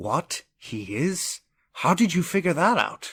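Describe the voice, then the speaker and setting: A man puts on a high-pitched character voice at a fairly slow pace. The recording is very clean, with a silent background. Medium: machinima. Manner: blunt, skeptical.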